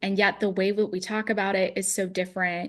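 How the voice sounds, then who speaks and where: A woman speaks at a medium pitch and a moderate pace. The background is quiet. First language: Russian. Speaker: founder of a card game business, former art director. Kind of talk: podcast conversation.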